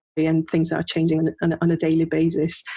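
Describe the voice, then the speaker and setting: A woman with a fairly low pitch, talking at a fairly quick pace. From Hungary. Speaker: UX and voice designer. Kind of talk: interview. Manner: halting, many repetitions and fillers.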